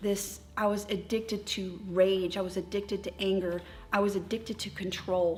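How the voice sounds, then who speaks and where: The delivery is somewhat breathy and monotone, with flat intonation, at a moderate pace. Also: woman, medium pitch for a woman. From Texas and North Dakota, military family. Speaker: recovery group leader. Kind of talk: testimony.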